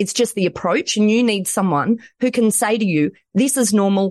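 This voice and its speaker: A woman talks at a moderate pace with ordinary pitch variation and very even loudness in a dry, close sound with no echo. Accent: strong Australian. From Australia. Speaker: lawyer and author. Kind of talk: interview. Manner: animated, high energy.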